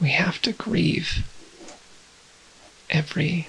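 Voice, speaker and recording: A woman's whisper at a very slow pace, with noticeable background noise. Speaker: transgender woman ASMR creator. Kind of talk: ASMR rambling talk to camera. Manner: whispered, soft.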